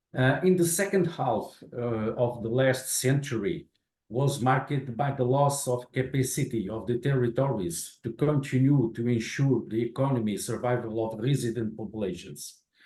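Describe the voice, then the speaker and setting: A man with a Portuguese accent speaks at a moderate pace in a medium pitch with ordinary pitch variation. His tone is dark and mellow, and somewhat breathy. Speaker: infrastructure manager. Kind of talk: lecture.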